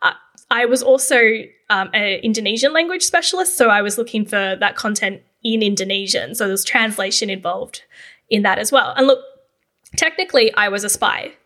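With an Australian accent, the speaker talks at a fairly quick pace, the tone bright and sharp and the intonation lively. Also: woman, fairly high pitch for a woman. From Australia, Canberra. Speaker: podcast host and copywriting agency founder. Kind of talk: solo podcast monologue. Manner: casual, conversational.

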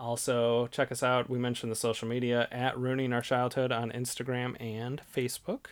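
A man has an unremarkable speaking voice with a medium pitch, fairly even intonation and a moderate pace. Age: 30s. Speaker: podcast co-host. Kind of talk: casual chat.

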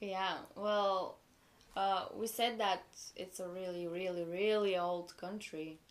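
A woman with a Bulgarian accent speaks at a very slow pace. Her intonation is monotone and flat. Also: medium pitch for a woman. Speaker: exchange student. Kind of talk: casual chat.

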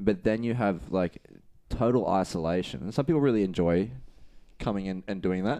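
This man has a fairly low pitch and a dark, mellow tone. He talks at a moderate pace with ordinary pitch variation. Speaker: gym owner or coach, podcast host. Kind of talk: casual chat podcast banter. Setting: studio.

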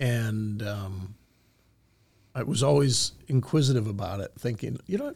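Speaking with an American accent, a man talks at a moderate pace with ordinary pitch variation. His voice is somewhat breathy, and the recording is very clean with a silent background. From Michigan, US Midwest. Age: 50s. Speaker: coin grading executive. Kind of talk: interview storytelling. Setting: studio.

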